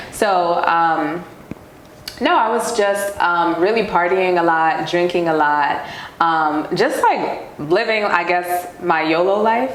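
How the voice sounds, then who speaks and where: A woman with a New York accent speaks at a very slow pace, her fairly low pitch showing ordinary variation and her loudness staying very even. Noticeable background noise and audible room echo fill the recording. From New York City (Queens). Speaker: professional dancer. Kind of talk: casual interview.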